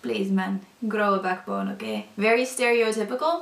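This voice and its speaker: With a Northern European accent, a woman speaks at a moderate pace in a fairly high pitch against noticeable background noise. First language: not English; language of a former Soviet country. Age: 20s. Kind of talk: personal testimony. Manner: casual, hesitant with many fillers.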